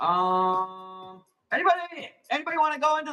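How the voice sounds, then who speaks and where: A raised, projected male voice with a bright, sharp tone, very wide pitch swings and a moderate pace. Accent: American. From Arizona, US. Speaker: plant seller hosting live auctions. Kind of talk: live sales stream.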